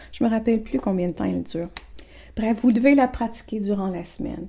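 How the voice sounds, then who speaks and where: This woman's voice has a medium pitch and ordinary pitch variation. Her tone is dark and mellow, and somewhat breathy. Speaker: therapist selling an online program. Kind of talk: informal program presentation to camera. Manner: casual, with frequent self-corrections and repetitions.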